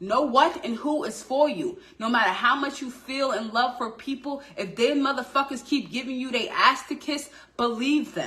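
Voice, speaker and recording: Her voice raised and projected, a woman talks at a moderate pace in a high, animated tone with ordinary pitch variation. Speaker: tarot reader. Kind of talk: tarot reading. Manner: loud.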